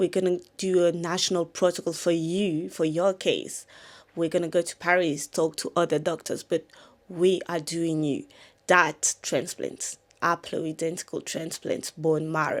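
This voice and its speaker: On a very clean recording with a silent background, a woman speaks with a fairly low pitch. She goes at a fairly slow pace with monotone, flat intonation. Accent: French. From France. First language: French. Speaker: content creator. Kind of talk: casual storytime talk to camera.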